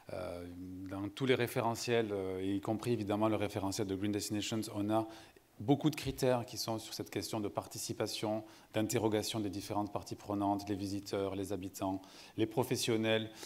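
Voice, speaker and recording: A man's fairly low-pitched voice with a southern French accent and monotone, flat intonation. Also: moderate pace. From southern France, Montpellier. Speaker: sustainability consultant, panel moderator. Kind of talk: conference panel moderation. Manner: hesitant, many fillers.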